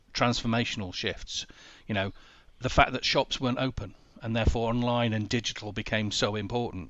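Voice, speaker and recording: The voice carries a Yorkshire accent. The pace is fairly quick. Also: man. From northern England, Sheffield. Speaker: business coach. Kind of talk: interview.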